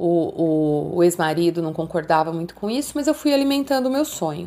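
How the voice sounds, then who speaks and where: A dark, mellow tone carries very wide pitch swings at a moderate pace. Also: woman. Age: 50s. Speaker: entrepreneur, emotional intelligence coach. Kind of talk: interview, life story.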